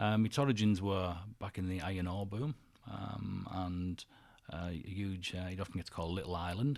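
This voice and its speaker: Fairly quick and fairly even in intonation, a man speaks with a very deep, low pitch. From northern England, Cleator Moor, Cumbria. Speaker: HR manager and musician. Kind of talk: radio interview. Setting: radio studio.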